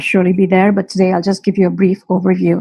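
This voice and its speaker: Here is a woman's voice. It sounds somewhat breathy. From India. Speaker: teacher. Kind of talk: webinar talk. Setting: live stream webinar. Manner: hesitant, many fillers.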